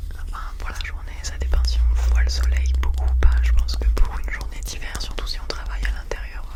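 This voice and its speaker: Whispering and soft-spoken, a woman talks at a moderate pace against noticeable background noise. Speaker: ASMR creator. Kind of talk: whispered ASMR unboxing. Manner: whispered, soft.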